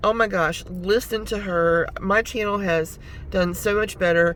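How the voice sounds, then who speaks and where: A woman speaks over noticeable background noise. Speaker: YouTuber and delivery driver. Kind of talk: casual vlog talk to camera. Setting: in a parked car.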